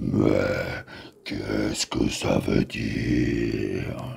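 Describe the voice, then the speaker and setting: A man growls in a put-on character voice with a very deep, low pitch. He speaks at a very slow pace. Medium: audio drama.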